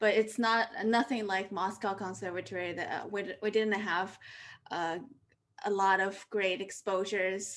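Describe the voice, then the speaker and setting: On a very clean recording with a silent background, a woman with a Chinese accent speaks fairly slowly at a medium pitch with fairly even intonation. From China. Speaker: pianist and interviewer. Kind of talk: interview.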